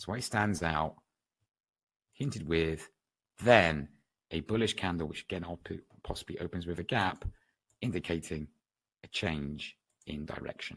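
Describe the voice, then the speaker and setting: A man with a West Country accent speaks in a very deep, low voice with ordinary pitch variation. His pace is moderate, broken by long, frequent pauses. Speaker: trading educator. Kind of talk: webinar lecture. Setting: online webinar.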